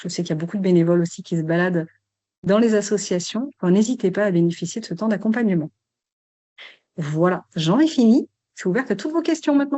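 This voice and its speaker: A woman of medium pitch talks at a very fast pace with very wide pitch swings and long, frequent pauses. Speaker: sports club support advisor. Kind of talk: webinar presentation.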